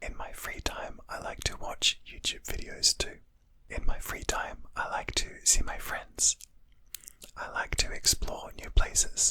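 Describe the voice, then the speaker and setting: Someone is whispering. The pace is fairly slow. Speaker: English teacher. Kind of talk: whispered English lesson for beginners. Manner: whispered, soft-spoken.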